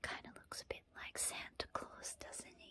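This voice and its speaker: Someone whispers in a gentle tone at a moderate pace. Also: woman. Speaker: ASMR creator and storyteller. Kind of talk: bedtime story reading. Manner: soft-spoken, gentle.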